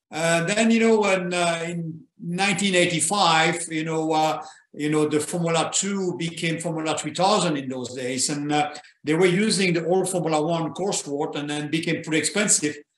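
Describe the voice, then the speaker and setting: Someone with a French accent speaks at a fairly slow pace with fairly even intonation and audible room echo. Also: man, high pitch for a man. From Belgium. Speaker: retired racing driver. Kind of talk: interview.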